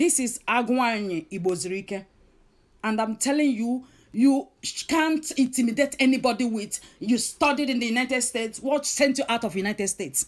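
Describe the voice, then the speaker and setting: Someone with a Nigerian accent speaks with lively intonation. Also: woman. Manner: confrontational, scolding, hesitant with many fillers.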